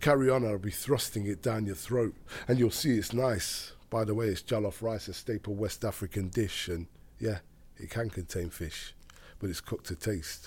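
With an East Midlands accent, a man speaks at a moderate pace in a fairly low, somewhat breathy voice with ordinary pitch variation, on a very clean recording with a silent background. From Derby, England. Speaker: poet. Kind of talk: casual chat; poetry performance. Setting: studio.

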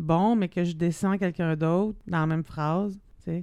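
Speaking with a Quebec accent, a woman uses a fairly low pitch and a dark, mellow tone. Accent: Québécois French. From Quebec, Abitibi (Rouyn-Noranda). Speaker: podcast co-host. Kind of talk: casual chat. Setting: studio.

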